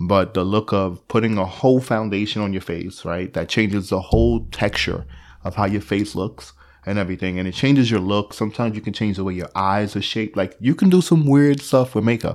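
In a very clean recording with a silent background, a man with a plain, everyday voice talks at a fairly quick pace in a fairly low pitch with ordinary pitch variation. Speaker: podcast co-host. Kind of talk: casual conversation.

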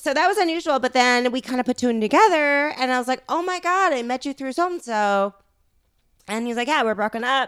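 A woman with a Californian accent speaks at a high pitch with lively intonation. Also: fairly quick pace. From Los Angeles, San Fernando Valley. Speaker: startup founder. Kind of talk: casual interview. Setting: at her home.

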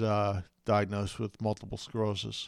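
A man with an American accent speaks in a fairly low voice at a moderate pace. The recording is very clean with a silent background. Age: 40s. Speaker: podcast host with multiple sclerosis. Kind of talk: personal story monologue. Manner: hesitant, many fillers.

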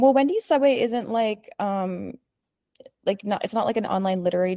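The recording is very clean, with a silent background and a dry, close sound with no echo. A woman speaks at a moderate pace with ordinary pitch variation. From Canada. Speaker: poet and indie press founder. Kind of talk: casual interview chat. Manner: halting, many fillers.

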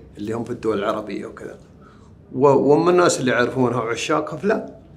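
A man of medium pitch at a fairly quick pace, with ordinary pitch variation, noticeable background noise and audible room echo. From southern Saudi Arabia, village between Tathlith and Wadi al-Dawasir. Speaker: poet. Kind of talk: interview. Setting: book fair venue.

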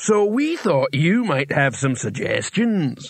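In a put-on character voice, a man talks fairly slowly and pitches his voice high. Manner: meek, humble.

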